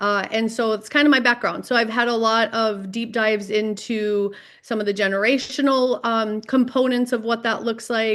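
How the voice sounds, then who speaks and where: Fairly high-pitched female speech, moderately paced and fairly even in intonation. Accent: North Dakota. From North Dakota. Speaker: mental health professional. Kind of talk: podcast interview.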